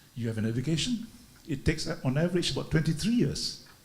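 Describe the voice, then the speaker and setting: A somewhat breathy man talks at a very fast pace with very wide pitch swings. Audible room echo surrounds the voice. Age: 70s. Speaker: retired business executive, speaker. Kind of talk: talk at a leadership conference. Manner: halting, many fillers.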